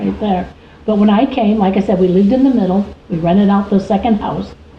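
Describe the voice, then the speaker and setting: Background noise is noticeable. The talking moves along at a fairly quick pace. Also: woman. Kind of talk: interview answer.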